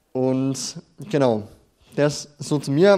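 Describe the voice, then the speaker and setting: The man's voice sits at a fairly high pitch and has a dark, mellow tone. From Bavaria, near Nuremberg (Franconia). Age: 20s. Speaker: theology student and trainee pastor. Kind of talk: sermon. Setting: church stage with audience. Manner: halting, many fillers.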